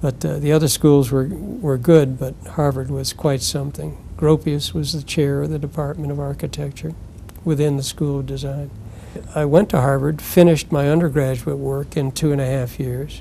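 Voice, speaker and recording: Against noticeable background noise, a man with an American accent speaks at a moderate pace, his fairly high pitch carried on fairly even intonation. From US Northeast, Connecticut. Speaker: retired architect. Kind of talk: interview, life story. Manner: halting, many fillers.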